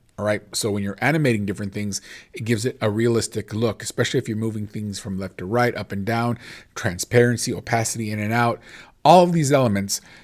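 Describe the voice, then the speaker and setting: Very fast and at a medium pitch, a man speaks with ordinary pitch variation in a very clean recording with a silent background. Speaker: teacher. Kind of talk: tutorial. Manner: casual, with many fillers.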